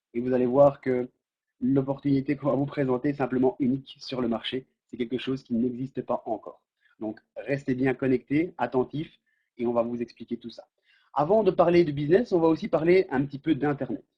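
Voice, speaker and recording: With a plain, everyday voice, a man talks at a fairly quick pace with a fairly high pitch for a man and ordinary pitch variation. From French-speaking Belgium. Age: 30s. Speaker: network marketing presenter. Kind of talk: sales pitch. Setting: webinar.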